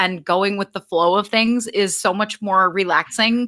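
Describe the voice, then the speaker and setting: In a very clean recording with a silent background, a woman speaks with a fairly high pitch and a bright, sharp tone. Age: 20s. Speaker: film fan guest on podcast. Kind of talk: casual chat. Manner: fast.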